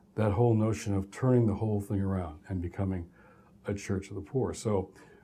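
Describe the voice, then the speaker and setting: A man speaks with an American accent and a dark, mellow tone. His pitch is fairly low, his intonation fairly even, and his voice somewhat breathy. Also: fairly quick pace. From US Midwest, Detroit, Michigan. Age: 60s. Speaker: professor. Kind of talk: lecture.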